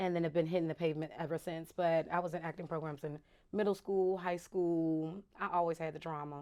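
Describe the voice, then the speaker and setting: This woman has an American accent, a fairly low pitch and a dark, mellow tone, and she talks at a fairly quick pace. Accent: Southern accent that comes and goes with mood. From Virginia, US. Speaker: actress. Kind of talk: casual interview chat. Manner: animated.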